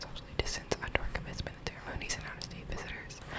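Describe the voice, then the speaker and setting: A woman whispers at a very fast pace. Noticeable background noise sits behind her. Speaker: undergraduate university student. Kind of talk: reading an official email aloud. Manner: whispered, soft-spoken.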